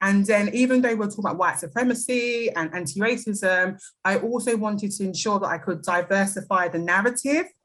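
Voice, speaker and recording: Speaking with a British accent, a woman keeps a fairly quick pace. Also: medium pitch for a woman, ordinary pitch variation, hardly any pauses. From London, England. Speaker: anti-racist educator. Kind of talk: podcast interview.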